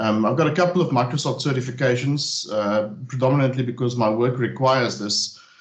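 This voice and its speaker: A man with a South African accent at a fairly quick pace, ordinary pitch variation, audible room echo, and noticeable background noise. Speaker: technical trainer. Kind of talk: technical webinar presentation. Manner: hesitant, many fillers.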